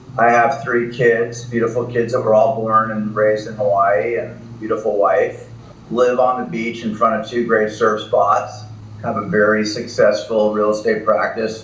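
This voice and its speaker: A man's medium-pitched voice with an American accent, at a moderate pace with fairly even intonation, in audible room echo. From US East Coast. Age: 60s. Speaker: real estate broker. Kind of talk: podcast interview.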